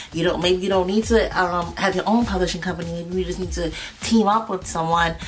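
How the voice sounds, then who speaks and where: A woman talks at medium pitch and a fairly quick pace in a monotone, flat intonation. Noticeable background noise and audible room echo are present. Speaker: music business teacher. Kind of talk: tutorial. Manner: fast; hesitant, many fillers.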